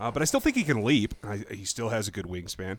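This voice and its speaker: A man is speaking. He goes at a very fast pace. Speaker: podcast host and vlogger. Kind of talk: casual chat.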